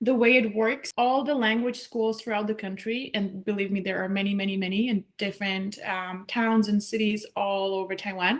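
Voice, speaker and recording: A woman speaks in a Czech accent at a moderate pace. Her pitch is medium and her intonation fairly even. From Czech Republic. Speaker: language student, scholarship recipient. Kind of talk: interview.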